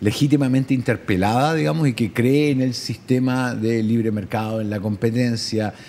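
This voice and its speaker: At a moderate pace, a man at medium pitch speaks in a plain, everyday voice. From Chile. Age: 50s. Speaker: journalist, correspondent and radio host. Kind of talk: interview answer.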